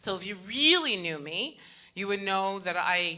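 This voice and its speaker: A woman with a bright, sharp tone speaks animatedly at a medium pitch with ordinary pitch variation. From Canada, Montreal. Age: 40s. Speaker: motivational speaker. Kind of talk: inspirational talk.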